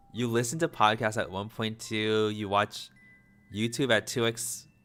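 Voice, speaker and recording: Music plays in the background as a man talks at medium pitch in a calm tone. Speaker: gaming streamer. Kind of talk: casual live stream chat. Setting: live stream. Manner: fast, stumbling over words; chill, calm in videos.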